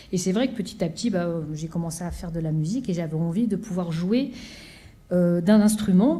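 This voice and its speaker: A woman's somewhat breathy, dark, mellow voice, fairly low in pitch with ordinary variation, at a fairly quick pace amid audible room echo. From France, Seine-Saint-Denis (Pantin). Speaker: orchestra conductor. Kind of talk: conference talk. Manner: halting, many fillers.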